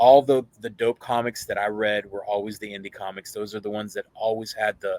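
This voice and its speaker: Speaking at a fairly quick pace with hardly any pauses, a man with a fairly low pitch shows big swings in loudness, and the sound is dry and close with no echo. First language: Spanish. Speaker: comic convention founder. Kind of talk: casual podcast interview. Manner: animated, with many fillers and restarts.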